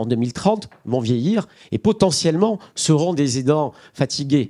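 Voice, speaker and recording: With a dark, mellow tone, a man speaks at a fairly high pitch and a fairly slow pace. His pitch swings very widely, and the background is quiet. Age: 40s. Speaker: nonprofit director; speaker. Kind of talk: panel discussion. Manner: halting. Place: hall. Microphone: handheld.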